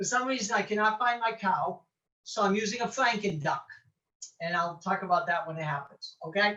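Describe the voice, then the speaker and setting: With an American accent, a woman speaks at a medium pitch in a bright, sharp tone. Her pace is fairly quick. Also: ordinary pitch variation. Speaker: author and pagan teacher. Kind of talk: online presentation. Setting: home study, recorded video. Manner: animated.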